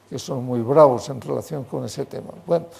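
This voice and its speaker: A man with a medium pitch talks while noticeable background noise carries on. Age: 80s+. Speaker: hydrology professor. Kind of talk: lecture. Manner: halting, with many fillers.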